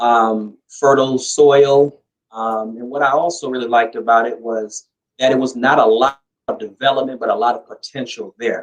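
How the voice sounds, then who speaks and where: The voice is a plain, everyday voice with an American accent. It moves at a moderate pace with ordinary pitch variation. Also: man, medium pitch for a man. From US West Coast, Los Angeles (Compton). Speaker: interview guest, emigrant. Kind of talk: interview.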